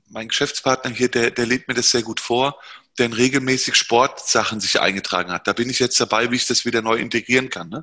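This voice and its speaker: A man's medium-pitched, fairly quick delivery in an ordinary speaking voice. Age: 40s. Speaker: entrepreneur. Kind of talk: interview.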